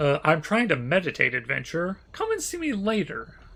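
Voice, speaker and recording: Putting on a character voice, a man speaks at a high pitch. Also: moderate pace. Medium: actual play. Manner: curt, dismissive.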